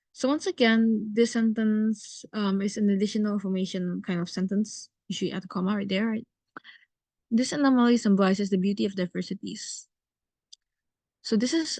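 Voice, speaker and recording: Over a quiet background, a woman talks at a fairly quick pace in a somewhat breathy voice with ordinary pitch variation. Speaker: writing teacher. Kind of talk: online lesson. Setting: video call with screen share. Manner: fast.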